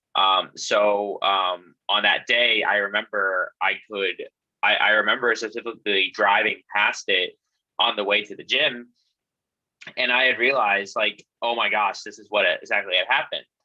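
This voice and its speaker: Moderately paced male speech, loudness rising and falling sharply. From US South, Atlanta, Georgia (moved from Vietnam at 8). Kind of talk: panel talk on video call. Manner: halting, many fillers.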